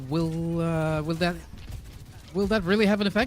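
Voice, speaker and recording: Music plays in the background as a man with a high voice speaks with ordinary pitch variation. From France. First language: French. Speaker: esports caster. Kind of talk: live commentary. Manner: halting.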